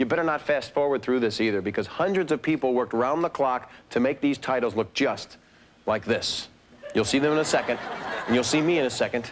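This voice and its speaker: Over noticeable background noise, a man talks at a fairly quick pace in a medium pitch, his loudness very even and his pitch variation ordinary. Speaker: TV host. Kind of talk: comedic host talk to camera. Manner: joking, playful.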